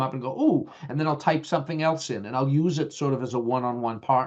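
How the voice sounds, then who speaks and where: A man with a strong Boston accent. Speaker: IT leadership educator. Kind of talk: lecture. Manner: halting, many fillers.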